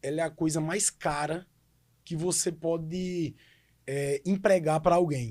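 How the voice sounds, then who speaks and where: On a very clean recording with a silent background, a man speaks at a high pitch. He goes at a very slow pace with fairly even intonation. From Pesqueira, Pernambuco, Brazil. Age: 30s. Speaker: city councillor and lawyer. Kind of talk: podcast interview.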